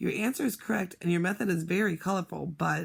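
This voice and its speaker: A raspy put-on character voice at a middle pitch and a very fast pace. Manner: hesitant.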